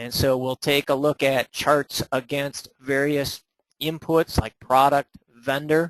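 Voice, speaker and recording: A man talks at a very slow pace in a fairly high pitch with monotone, flat intonation. The sound is dry and close, with no echo. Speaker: software trainer. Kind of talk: webinar tutorial. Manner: many fillers (uh, um).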